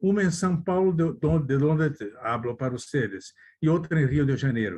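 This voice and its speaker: A man speaks with a Brazilian accent. His voice is fairly high. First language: Portuguese (speaking Spanish). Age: 80s+. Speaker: lawyer. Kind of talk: conference talk. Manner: halting, with self-corrections.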